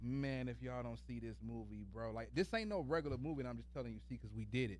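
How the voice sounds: The pace is fast. Pitch variation is ordinary. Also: man, medium pitch for a man.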